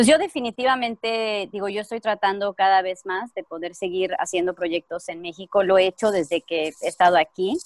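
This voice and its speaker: Using a normal speaking voice, a woman talks at a moderate pace and medium pitch with ordinary pitch variation and hardly any pauses, the sound dry and close with no echo. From Mexico. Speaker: actress. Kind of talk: casual chat.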